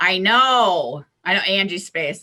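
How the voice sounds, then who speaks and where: A woman with an American accent speaks at a very slow pace in a bright, sharp tone with lively intonation. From US Midwest, Iowa. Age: 60s. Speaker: astrologer and psychic. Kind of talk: interview.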